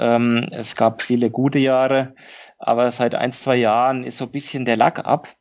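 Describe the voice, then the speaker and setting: Speaking at a fairly slow pace, a man with a Franconian accent has a medium pitch. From Lower Franconia, Germany. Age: 40s. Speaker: company managing director. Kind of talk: interview. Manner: hesitant, many filler sounds.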